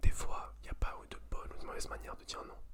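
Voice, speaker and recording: With noticeable background noise behind it, a voice whispers. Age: 20s. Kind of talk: ASMR talk to camera. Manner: whispered.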